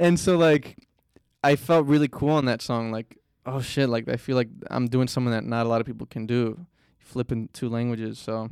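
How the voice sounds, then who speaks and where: Dry and close with no echo, this very clean recording with a silent background captures a man in an ordinary speaking voice. He talks at a medium pitch and a fairly quick pace, with ordinary pitch variation. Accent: American. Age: 20s. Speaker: musician. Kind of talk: casual chat.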